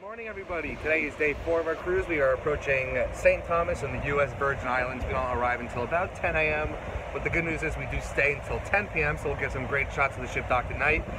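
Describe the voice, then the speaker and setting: The speech is very fast with hardly any pauses. The sound is dry with no echo, over loud background noise. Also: man. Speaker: travel vlogger. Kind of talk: casual vlog chat. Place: boat. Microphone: phone near.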